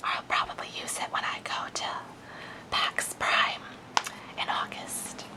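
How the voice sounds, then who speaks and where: A whisper at a fairly slow pace, broken by long, frequent pauses. Background noise is noticeable throughout. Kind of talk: ASMR unboxing. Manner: whispered.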